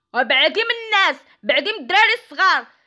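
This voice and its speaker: The voice is raised and projected, with a bright, sharp tone. It moves at a fairly quick pace. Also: woman. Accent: Moroccan. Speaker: YouTuber. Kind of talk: angry rant video. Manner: heated, shouting insults.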